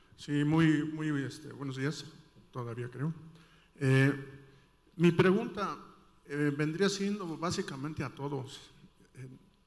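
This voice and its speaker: Audible room echo surrounds a man's fairly high voice, which has ordinary pitch variation and big swings in loudness. He speaks very slowly, with long, frequent pauses. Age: 60s. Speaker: audience member asking a question. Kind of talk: audience question at a conference panel. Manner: halting, many fillers.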